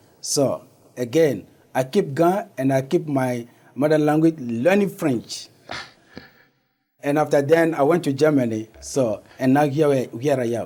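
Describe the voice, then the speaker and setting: A man with a West African accent speaks at a fairly slow pace in a fairly high voice with a dark, mellow tone, ordinary pitch variation, and long, frequent pauses. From Togo, raised partly in Ghana. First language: Ewe. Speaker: community organization founder. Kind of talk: interview. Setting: studio.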